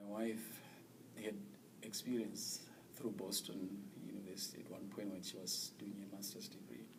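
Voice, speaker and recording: A man with a Zimbabwean accent speaks at a moderate pace and a fairly low pitch, with fairly even intonation and long, frequent pauses. Audible room echo and noticeable background noise are present. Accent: non-American, Zimbabwean. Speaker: immigrant interviewee, former teacher. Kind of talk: interview. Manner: halting, with fillers.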